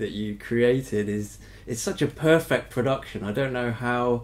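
At a moderate pace, a man with an English accent speaks at a medium pitch. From Britain. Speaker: podcast host. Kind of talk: interview.

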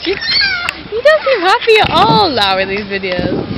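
A woman at a moderate pace, dry sound with no echo, and loud background noise. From England. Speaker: vlogger. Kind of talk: casual vlog talk to camera. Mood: cheerful, playful. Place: garden. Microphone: phone near.

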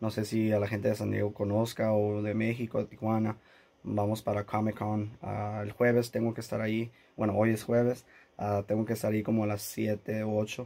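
A man speaks in a monotone, flat intonation at a fairly low pitch. His tone is dark and mellow, and his pace is moderate. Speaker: YouTuber. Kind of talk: casual vlog. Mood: annoyed, recounting airline dispute. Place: studio. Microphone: phone near.

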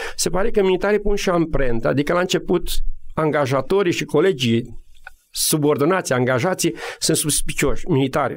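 Speaking at a fairly quick pace with lively intonation, a man uses a normal speaking voice. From Romania, Maramureș. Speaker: military officer and business coach. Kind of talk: radio interview.

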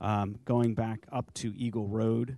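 Intonation fairly even, this voice carries a dark, mellow tone. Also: man. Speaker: civil engineer. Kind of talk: zoning hearing testimony. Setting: public board hearing.

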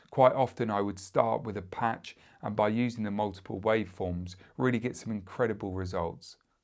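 Against a quiet background, a man speaks at a moderate pace in a fairly low pitch. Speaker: product reviewer. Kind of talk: product review. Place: studio.

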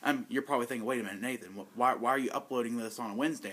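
The man's tone is bright and sharp. His intonation is lively. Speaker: vlogger. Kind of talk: casual vlog chat. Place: home room.

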